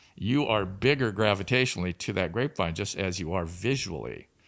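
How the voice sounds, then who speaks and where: Here a man with a fairly low voice and a Pacific Northwest accent talks at a moderate pace with lively intonation. The recording is very clean, with a silent background. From Tri-Cities, Washington. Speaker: winemaker and vineyard owner. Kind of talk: interview.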